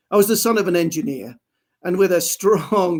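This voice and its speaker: With an English accent, a man speaks at a moderate pace in a high pitch. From England. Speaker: industrial automation engineer. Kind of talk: interview. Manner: formal.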